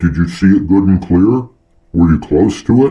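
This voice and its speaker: A man adopts a put-on character voice, pitched very deep and low, delivered at a moderate pace. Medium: read story. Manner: regal, commanding.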